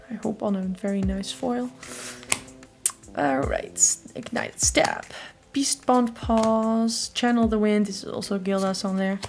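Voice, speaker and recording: A woman with a fairly high voice speaks fairly slowly as noticeable background noise carries on. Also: ordinary pitch variation. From Netherlands. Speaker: card game YouTuber. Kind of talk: unboxing commentary. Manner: casual with filler words.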